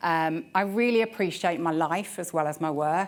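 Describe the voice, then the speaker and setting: With a West Midlands accent, a woman speaks at a fairly low pitch with ordinary pitch variation. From West Midlands, England. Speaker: telecoms director. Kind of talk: conference talk. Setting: stage with audience. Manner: casual, conversational.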